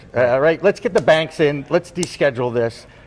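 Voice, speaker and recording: He has a normal speaking voice, pitched fairly high for a man. His intonation is lively. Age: 60s. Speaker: podcast host, former broadcaster. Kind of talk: interview. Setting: on location at industry social.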